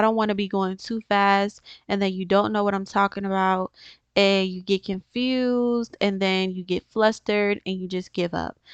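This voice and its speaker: With an unremarkable speaking voice, a woman talks at a medium pitch and a moderate pace, her intonation fairly even, the sound dry and close with no echo over a quiet background. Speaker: gaming tutorial youtuber. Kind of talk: tutorial.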